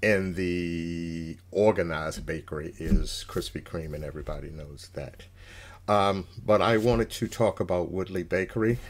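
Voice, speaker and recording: This man's voice sits at a very deep, low pitch. His pitch variation is ordinary. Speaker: food reviewer. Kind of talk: casual review chat. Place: home room. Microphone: webcam.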